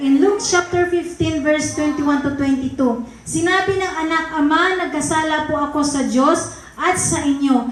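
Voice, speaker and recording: A high-pitched woman at a moderate pace, with noticeable background noise and audible room echo. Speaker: pastor. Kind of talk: sermon. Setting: church. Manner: forceful, blunt way of speaking.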